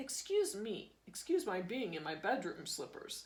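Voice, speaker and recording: This female-sounding voice is a put-on character voice at a fairly high pitch. It swings very widely in pitch and moves at a moderate pace. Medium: read story. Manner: calm, clipped.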